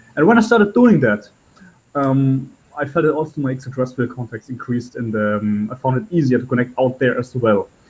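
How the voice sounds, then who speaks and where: The voice has a German accent and is somewhat breathy. It moves at a fairly quick pace. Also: man, medium pitch for a man, ordinary pitch variation. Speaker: spiritual channeler. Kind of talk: interview storytelling. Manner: halting, with many fillers.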